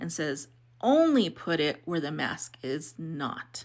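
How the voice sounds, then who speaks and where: A woman speaks with vocal fry. Her pitch is very deep and low. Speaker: video editing tutorial creator. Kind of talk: tutorial. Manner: casual, hesitant with fillers.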